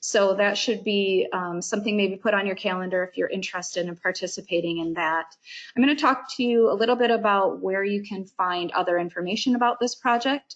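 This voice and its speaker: A woman's ordinary speaking voice at a medium pitch, fairly quick with hardly any pauses, with ordinary pitch variation and a quiet background. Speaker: government agency meeting moderator. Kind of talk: public information webinar presentation. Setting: online webinar.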